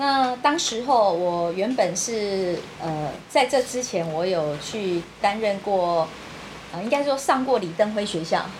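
Speaking very slowly with lively intonation, a woman is heard through audible room echo and noticeable background noise. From Taiwan. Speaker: political party secretary-general. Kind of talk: interview.

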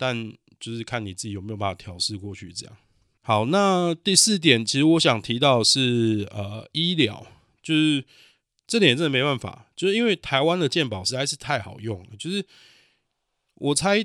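The pitch swings very widely at a moderate pace. The recording is very clean, with a silent background. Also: man, medium pitch for a man, big swings in loudness. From Taiwan. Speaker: podcast host, cook. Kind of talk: solo podcast monologue. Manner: halting, many fillers.

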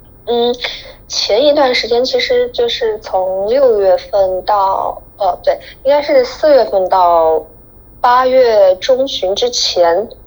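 A woman with a high pitch and lively intonation speaks at a very slow pace. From China. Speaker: guest living abroad. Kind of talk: casual chat.

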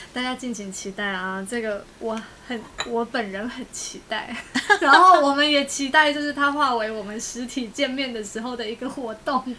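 With a Taiwanese accent, a woman speaks at a high pitch and a moderate pace, with ordinary pitch variation and big swings in loudness. Noticeable background noise runs underneath. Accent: Taiwanese Mandarin. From Taiwan, Tainan. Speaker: podcast host. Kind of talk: casual chat.

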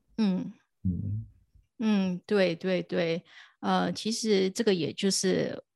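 A woman speaks at a very slow pace with long, frequent pauses and very even loudness, captured in a dry, close sound with no echo on a very clean recording with a silent background. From Taiwan. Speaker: crypto podcast host and DeFi content creator. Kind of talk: casual interview.

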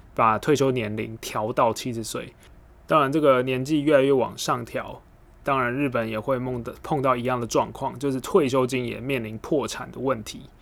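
An unremarkable speaking voice from a man, medium in pitch, at a moderate pace with fairly even intonation. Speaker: podcast host. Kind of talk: solo explainer podcast. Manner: casual, many filler words.

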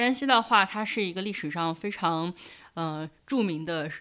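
A woman with a plain, everyday voice speaks at a fairly slow pace, her fairly low pitch carried by lively intonation on a very clean recording with a silent background. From Shanxi, Taiyuan. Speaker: internet company employee. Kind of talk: casual interview.

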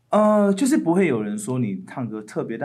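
With a Taiwanese accent, a man speaks in a dark, mellow tone through very wide pitch swings. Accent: Taiwanese Mandarin. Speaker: musician and a cappella singer. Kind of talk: casual interview chat.

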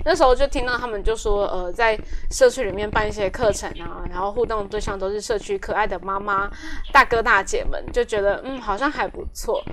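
A woman with a fairly high voice talks fairly quickly amid noticeable background noise, her pitch moving in an ordinary way. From Taiwan, Taoyuan Zhongli. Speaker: community worker. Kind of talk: interview.

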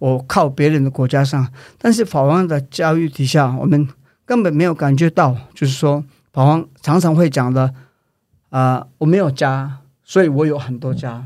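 With a Tibetan accent, a man speaks at a moderate pace and fairly high pitch with ordinary pitch variation on a very clean recording with a silent background. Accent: Tibetan accent in Mandarin. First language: Tibetan (speaking Chinese). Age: 40s. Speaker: Tibetan independence activist. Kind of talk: interview. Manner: halting.

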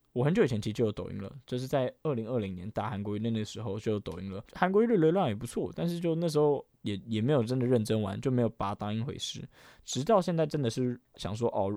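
Recorded very cleanly with a silent background and a dry, close sound with no echo, a man talks very fast in a medium-pitched voice with a dark, mellow tone. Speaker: podcast host and YouTuber. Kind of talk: casual solo podcast talk. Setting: recording during a live game stream. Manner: animated.

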